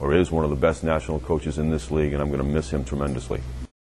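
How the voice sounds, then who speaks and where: Fairly even intonation with a New England accent. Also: man. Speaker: American football head coach. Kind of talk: interview.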